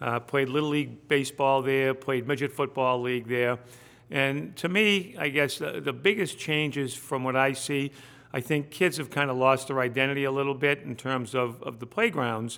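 Using an American accent, a man speaks in a bright, sharp tone with ordinary pitch variation. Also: medium pitch for a man, moderate pace. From Salem, Massachusetts (US New England). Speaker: state representative, former police officer. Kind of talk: casual interview.

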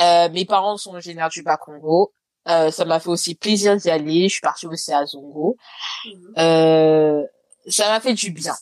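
With a plain, everyday voice, a woman talks at a fairly slow pace and fairly low pitch, her intonation fairly even but her loudness swinging widely, in a dry, close sound with no echo. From France, Lyon. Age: late 20s. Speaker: podcaster and corporate lawyer. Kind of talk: casual interview chat.

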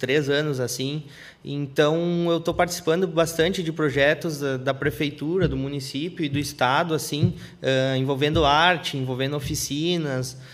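Speaking at a moderate pace with fairly even intonation, a man with a fairly high pitch has an unremarkable speaking voice. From interior of Rio Grande do Sul, Brazil. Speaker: graffiti artist. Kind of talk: live podcast interview. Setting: studio.

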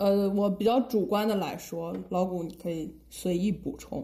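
A woman speaks at a fairly slow pace with a medium pitch and ordinary pitch variation. Her tone is dark, mellow, and somewhat breathy. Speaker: podcast co-host. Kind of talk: casual chat.

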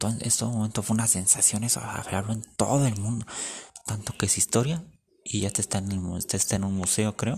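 On a very clean recording with a silent background, a man speaks at a moderate pace, his fairly low, somewhat breathy voice showing ordinary pitch variation. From Mexico. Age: 20s. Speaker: podcaster. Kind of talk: casual monologue.

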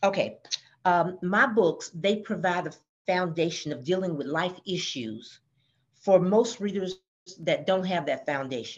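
Speaking at a fairly slow pace, a woman with a plain, everyday voice, an American accent, medium pitch and lively intonation comes through. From US South, Georgia. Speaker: author. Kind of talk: podcast interview.

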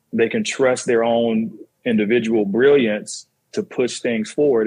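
This is a man with a plain, everyday voice. He speaks at a medium pitch with fairly even intonation. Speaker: director of photography. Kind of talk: casual panel discussion.

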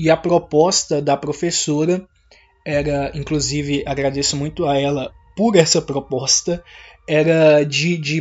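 Music plays in the background as a man talks at a fairly slow pace. His pitch is fairly high and his intonation fairly even. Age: 20s. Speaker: podcaster. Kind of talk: casual monologue.

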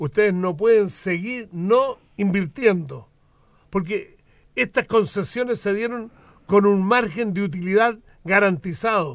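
The recording is very clean, with a silent background. A man speaks at a fairly slow pace with a high pitch and ordinary pitch variation. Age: old. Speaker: politician. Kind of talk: radio interview. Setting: radio studio.

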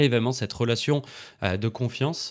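This is a man speaking. His pitch is medium. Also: very clean recording, silent background. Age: 20s. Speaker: entrepreneur and trainer for content creators. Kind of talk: casual interview. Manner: hesitant, many fillers.

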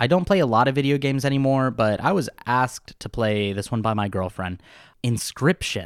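On a very clean recording with a silent background, a man speaks at a moderate pace with lively intonation. He has a normal speaking voice at medium pitch. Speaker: podcast host. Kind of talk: casual chat.

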